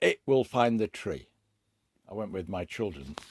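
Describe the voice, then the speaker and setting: A man with a British accent speaks at a fairly low pitch, the sound dry and close with no echo. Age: 70s. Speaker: hobbyist video maker. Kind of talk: casual show-and-tell talk. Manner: hesitant, many fillers.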